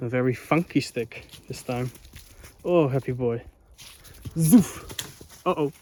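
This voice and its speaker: With a Dutch accent, a man speaks at a medium pitch and a fairly slow pace, with ordinary pitch variation, big swings in loudness and long, frequent pauses. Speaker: vlogger. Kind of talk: casual vlog narration. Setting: outdoors. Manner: casual, hesitant with fillers.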